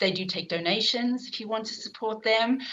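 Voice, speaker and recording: Using a bright, sharp tone, a woman with a South African accent speaks at a moderate pace with fairly even intonation. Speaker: professor and event chair. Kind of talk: online event introduction. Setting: online video event. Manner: hesitant, many fillers.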